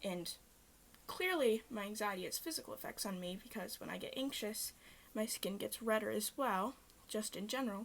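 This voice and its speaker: Her voice is fairly high and somewhat breathy, with lively intonation. The woman keeps a moderate pace. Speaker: vlogger. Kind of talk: personal vlog talking to camera. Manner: halting, many fillers.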